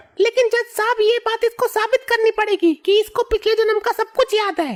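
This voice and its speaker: A woman puts on a squeaky character voice pitched extremely high. She keeps a moderate pace and fairly even intonation. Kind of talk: courtroom speech. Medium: cartoon. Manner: sharp, combative.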